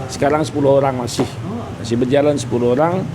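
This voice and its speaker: A man's fairly high-pitched voice, fairly even in intonation, over noticeable background noise. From East Java (Nganjuk). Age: 50s. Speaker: meatball and soto shop owner. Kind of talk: casual interview chat.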